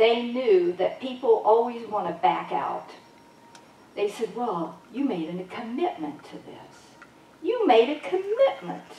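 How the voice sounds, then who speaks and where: A woman's fairly high voice at a very slow pace, with very wide pitch swings, big swings in loudness, audible room echo and noticeable background noise. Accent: American. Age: 70s. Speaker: holistic healer and speaker. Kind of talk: spiritual talk to a congregation. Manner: animated.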